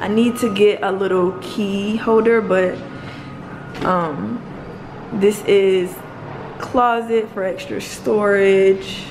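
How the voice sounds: Audible room echo surrounds a woman speaking slowly at a medium pitch.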